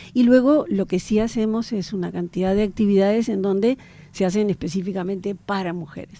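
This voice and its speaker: A woman talks at a fairly quick pace with a dark, mellow tone. Her pitch sits in the medium range and varies in an ordinary way. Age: 60s. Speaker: government official, historian. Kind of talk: radio interview.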